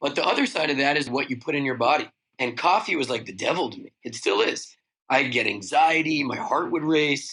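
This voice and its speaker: A man with an American accent talks at a fairly quick pace in a fairly high pitch with ordinary pitch variation. His tone is animated, bright and sharp. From New York City. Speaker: beverage company founder. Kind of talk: podcast interview. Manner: casual, animated.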